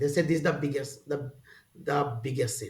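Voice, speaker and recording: Somewhat breathy and fairly high-pitched, the man speaks at a fairly slow pace. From rural India. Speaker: spiritual teacher. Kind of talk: casual interview conversation. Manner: halting.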